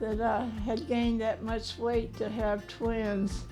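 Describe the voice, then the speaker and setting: A woman's fairly high voice at a very slow pace, with music playing in the background. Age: 80s+. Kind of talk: interview answer. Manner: slow, hesitant.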